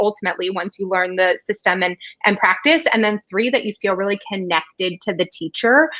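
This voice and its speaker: A woman speaks at a fairly quick pace. The background is quiet. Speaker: fundraising consultant; live show host or guest. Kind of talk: casual chat. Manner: fast. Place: home room. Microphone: studio mic.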